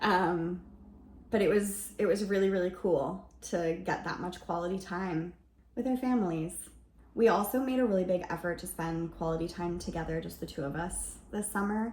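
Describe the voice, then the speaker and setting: A somewhat breathy woman at a fairly low pitch, moderate pace and ordinary pitch variation. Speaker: lifestyle vlogger. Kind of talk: casual vlog narration.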